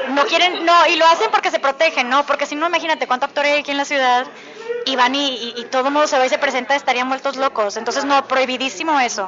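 Against noticeable background noise, a woman talks very fast in a high pitch. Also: ordinary pitch variation. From Mexico. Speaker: actress and voice actor. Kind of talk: interview. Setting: bakery café.

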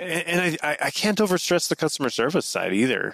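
A man with an American accent speaks at a moderate pace in an ordinary speaking voice. The sound is dry and close, with no echo. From northern Utah. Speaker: knife company founder. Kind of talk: casual interview.

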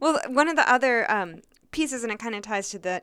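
A woman's normal speaking voice with lively intonation, in a very clean recording with a silent background. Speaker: podcast co-host, coach. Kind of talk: casual discussion.

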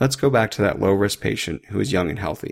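On a very clean recording with a silent background, a man with an unremarkable speaking voice talks at a fairly quick pace, his fairly low pitch showing ordinary variation. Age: 30s. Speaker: emergency physician, military doctor, podcast host. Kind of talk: medical lecture podcast. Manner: clear, instructional.

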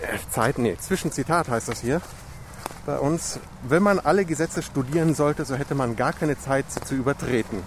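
Noticeable background noise sits behind the speaker. The pace is moderate, with ordinary pitch variation. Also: man, fairly high pitch for a man. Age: 40s. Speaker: podcast host. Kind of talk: casual interview chat. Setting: outdoors walking in park in rain.

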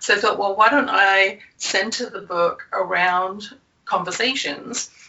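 A woman of medium pitch talks at a moderate pace with ordinary pitch variation. There is noticeable background noise. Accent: English. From England. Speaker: confidence coach and author. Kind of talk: interview, conversational.

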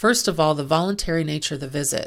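The voice shows vocal fry, and the recording is very clean with a silent background. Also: woman. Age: 50s. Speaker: medical coding and billing consultant, podcast host. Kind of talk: educational monologue.

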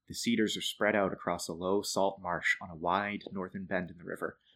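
Here a man with an American accent uses a normal speaking voice, fairly low in pitch with fairly even intonation. He keeps a moderate pace in a very clean recording with a silent background. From Boston area, Massachusetts, US. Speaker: storyteller and affordable housing planner. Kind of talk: casual interview conversation.

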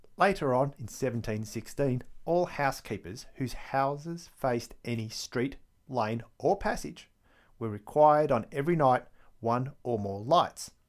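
In a very clean recording with a silent background, a man speaks with an Australian accent at a medium pitch. His pace is fairly slow and his intonation lively. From Victoria, Australia. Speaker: history podcaster. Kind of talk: scripted-style solo narration about history.

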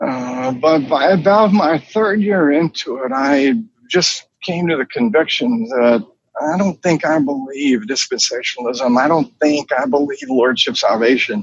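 His pitch fairly high, a man with an American accent speaks in very wide pitch swings. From US South, North Carolina (Charlotte). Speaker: pastor. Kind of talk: interview. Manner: halting.

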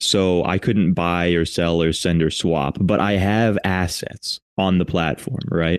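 This man has a very deep, low voice and fairly even intonation at a fairly slow pace. The recording is very clean, with a silent background. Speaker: crypto project advisor. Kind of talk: casual chat.

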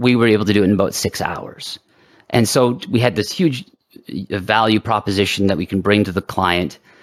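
A man with a plain, everyday voice, fairly low in pitch, at a fairly quick pace with ordinary pitch variation. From Canada. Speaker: serial entrepreneur. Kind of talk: interview.

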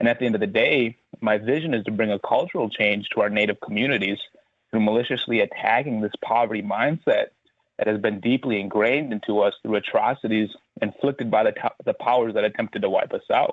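A man with an American accent talks at a very fast pace. His loudness stays very even. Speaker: financial representative. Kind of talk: radio interview.

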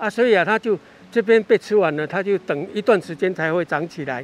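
A man's voice carries the clip. His pitch moves up and down in an ordinary way. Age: 70s. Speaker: eco-tour guide. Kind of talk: guided nature walk explanation. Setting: outdoors.

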